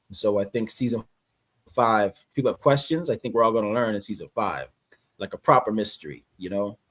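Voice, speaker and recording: In a dry, close sound with no echo, a man with an unremarkable speaking voice talks fairly quickly at a medium pitch with ordinary pitch variation. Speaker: actor. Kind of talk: casual chat.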